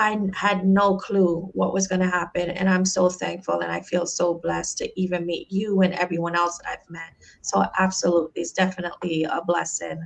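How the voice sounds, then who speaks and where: This woman has a slight Jamaican accent and a medium pitch. She speaks at a fairly quick pace with hardly any pauses. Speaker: podcast host, life coach. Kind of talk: podcast interview. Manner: enthusiastic.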